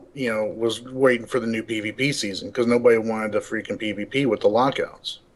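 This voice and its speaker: A man talks very fast while noticeable noise fills the background. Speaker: gaming league leader. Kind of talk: casual chat. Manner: halting, many restarts.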